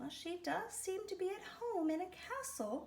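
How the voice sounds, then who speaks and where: In a squeaky, put-on character voice, a woman speaks at an extremely high pitch with very wide pitch swings at a moderate pace over clear background noise. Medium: read story.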